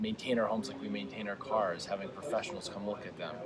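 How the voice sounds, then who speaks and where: The speech moves at a fairly quick pace with very wide pitch swings. Background noise is noticeable. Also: man. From New England. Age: 40s. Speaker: tech startup CEO. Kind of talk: interview.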